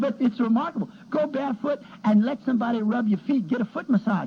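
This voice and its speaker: A man speaks at an extremely high pitch with lively intonation. Noticeable background noise runs underneath. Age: 60s. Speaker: pharmacist. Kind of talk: casual chat.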